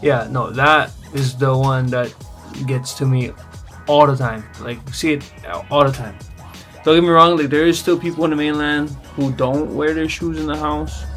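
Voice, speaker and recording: Over background music, a man with a fairly high voice speaks in a relaxed tone at a moderate pace, with ordinary pitch variation. He leaves long, frequent pauses. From Hawaii (Kaneohe). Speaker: vlogger. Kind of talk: casual talk to camera. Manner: casual, relaxed.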